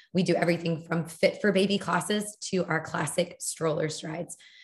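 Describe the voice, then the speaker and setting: A somewhat breathy woman with a fairly low pitch speaks at a moderate pace in a flat monotone. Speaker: fitness company director. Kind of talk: panel discussion.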